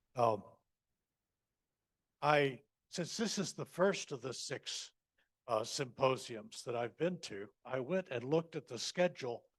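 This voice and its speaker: A man with an American accent at a fairly slow pace, ordinary pitch variation, and a dry, close sound with no echo. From United States. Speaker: panelist, scholar. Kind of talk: conference talk. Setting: conference panel.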